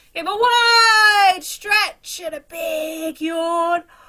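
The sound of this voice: A woman speaks at a very slow pace with extremely high pitch. Her tone is bright and sharp. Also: ordinary pitch variation.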